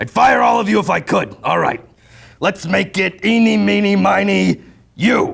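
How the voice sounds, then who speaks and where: A man puts on a raspy, high-pitched character voice and speaks at a moderate pace. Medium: stage. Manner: gruff, bossy.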